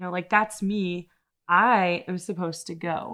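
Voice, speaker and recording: A woman speaks in a normal speaking voice at medium pitch. Her intonation is fairly even over a quiet background. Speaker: college admissions staff podcast host. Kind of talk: casual interview chat.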